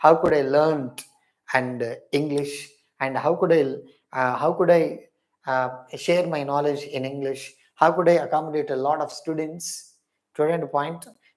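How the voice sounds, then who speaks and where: A man speaks with a fairly high pitch in a monotone, flat delivery. Audible room echo surrounds his voice. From India, Hyderabad (Telangana). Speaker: English teacher. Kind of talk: online lecture. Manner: repetitive, emphatic.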